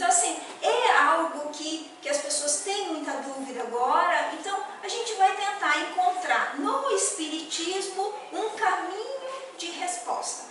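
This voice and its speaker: Lively intonation rides on a fairly slow pace. The recording carries audible room echo and noticeable background noise. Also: woman, extremely high pitch for a woman. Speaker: spiritist lecturer. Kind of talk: lecture. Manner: conversational, hesitant.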